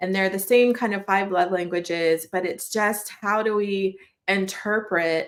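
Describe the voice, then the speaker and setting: A woman speaks fairly slowly in an ordinary speaking voice. Her pitch is medium, with ordinary variation. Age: 40s. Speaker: preschool podcast host and parent. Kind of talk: casual solo podcast talk. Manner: conversational with fillers and self-corrections.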